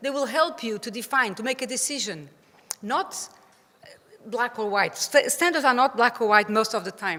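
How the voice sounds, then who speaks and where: The speaker has a Portuguese accent and lively intonation. Loudness swings widely. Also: woman, high pitch for a woman, moderate pace. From Portugal. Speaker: playground safety expert. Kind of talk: conference presentation. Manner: halting.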